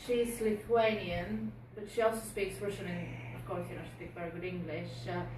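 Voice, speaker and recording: Loudness swings widely in this recording, which carries noticeable background noise and audible room echo. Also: woman. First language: Bulgarian. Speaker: police community support officer. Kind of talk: community presentation. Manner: hesitant, many fillers.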